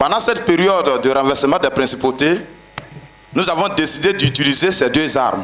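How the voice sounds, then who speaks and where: A man talks at a moderate pace. His pitch sits fairly high. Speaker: pastor. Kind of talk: testimony. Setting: church. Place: tent. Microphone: handheld.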